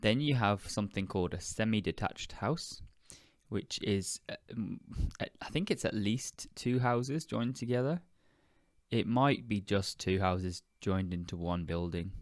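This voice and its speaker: With a British accent, a man speaks at a fairly low pitch with lively intonation on a very clean recording with a silent background. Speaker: podcast host, English teacher. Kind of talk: educational podcast monologue. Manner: deliberately slowed.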